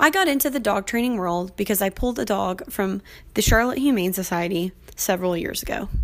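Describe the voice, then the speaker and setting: A woman talks at a fairly quick pace with lively intonation and medium pitch. She has an unremarkable speaking voice. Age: 20s. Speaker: podcast host and dog trainer. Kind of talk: casual solo podcast intro.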